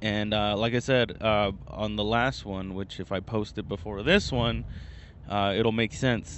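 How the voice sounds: At a fairly slow pace, a man with a fairly low pitch and a fairly bright tone speaks with fairly even intonation.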